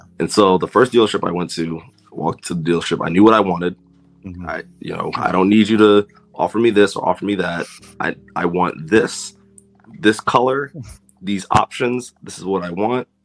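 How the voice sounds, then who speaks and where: Over music in the background, a man with an American accent and fairly low pitch talks at a moderate pace, with big swings in loudness. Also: ordinary pitch variation. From US, Washington D.C. area (Silver Spring, Maryland). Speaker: podcaster, guest. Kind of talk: casual chat.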